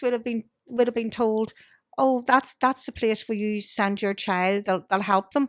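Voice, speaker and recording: A woman's fairly high voice in a Belfast accent, at a moderate pace with ordinary pitch variation, in a very clean recording with a silent background and a dry, close sound with no echo. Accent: Belfast Northern Irish. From Northern Ireland, Belfast. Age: 60s. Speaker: blind guest sharing life experience. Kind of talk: casual interview chat.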